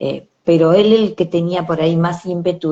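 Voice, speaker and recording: This woman has a Rioplatense accent. She speaks at a moderate pace. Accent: Argentine Rioplatense Spanish. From Argentina. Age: 60s. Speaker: bereaved mother. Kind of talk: interview. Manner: halting.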